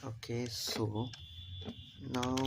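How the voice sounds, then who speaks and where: Noticeable background noise accompanies a soft-spoken voice. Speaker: programming live streamer. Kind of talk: live coding tutorial stream. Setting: home, mother's room.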